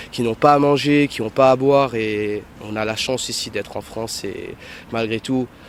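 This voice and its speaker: This man has a normal speaking voice at medium pitch, with fairly even intonation and a moderate pace. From Mauritius. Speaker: self-employed passer-by interviewed. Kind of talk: street interview.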